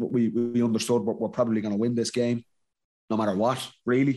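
A man with a Dublin accent speaks at a medium pitch. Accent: Dublin Irish. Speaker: former Gaelic football player, podcast co-host. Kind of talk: casual chat and interview.

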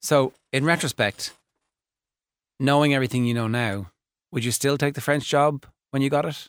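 A man with an Irish accent speaks at a moderate pace and fairly high pitch, with ordinary pitch variation and long, frequent pauses. The recording is very clean, with a silent background and a dry, close sound with no echo. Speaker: sports radio host. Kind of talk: casual chat. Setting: studio.

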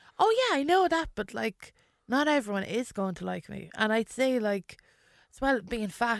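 With an Irish Midlands accent, a woman talks at a moderate pace in a fairly high voice with lively intonation, the very clean recording dry and close with no echo and a silent background. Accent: Irish midlands (Westmeath). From Ireland, County Westmeath (born in London). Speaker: comedian. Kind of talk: casual interview chat.

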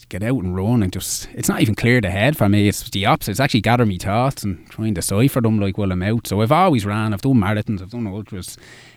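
A man with a fairly low pitch and a Dublin accent, very fast pace, hardly any pauses and ordinary pitch variation. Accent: Dublin Irish. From Dublin, Ireland. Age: 30s. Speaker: marathon runner and mental health campaigner. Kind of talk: radio interview. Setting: radio studio.

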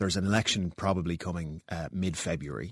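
A man with an Irish accent talks at a fairly quick pace. The recording is very clean, with a silent background. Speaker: politician. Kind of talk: political interview.

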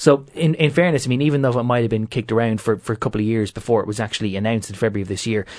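A man in an Irish accent, very fast pace, medium pitch and ordinary pitch variation, over a quiet background. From Ireland, County Meath. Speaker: political correspondent. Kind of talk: panel discussion.

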